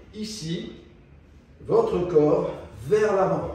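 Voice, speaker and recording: A man speaks at a very slow pace. Noticeable background noise and audible room echo fill the recording. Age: 60s. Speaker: chiropractor. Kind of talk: tutorial.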